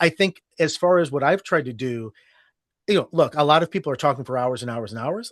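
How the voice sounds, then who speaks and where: In a plain, everyday voice, a man with an American accent speaks at a fairly quick pace and fairly high pitch, his intonation lively. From Ohio, United States. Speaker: storytelling podcast host, guest. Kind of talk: interview answer.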